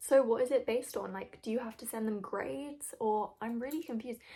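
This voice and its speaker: A woman's high voice with a British accent, fairly quick pace and ordinary pitch variation. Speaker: video reaction commentator. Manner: casual, chatty, hesitant with fillers.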